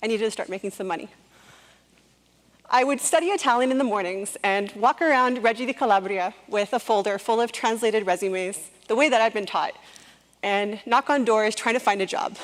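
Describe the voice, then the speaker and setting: This is an unremarkable speaking voice with a Canadian accent. It moves at a fairly quick pace with ordinary pitch variation. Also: woman, fairly high pitch for a woman. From Canada. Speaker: public speaker, entrepreneur. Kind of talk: TED-style talk.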